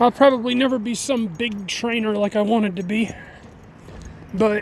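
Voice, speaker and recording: With noticeable background noise in the mix, the voice holds a moderate pace. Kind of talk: casual vlog talk while walking dog. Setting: outdoors.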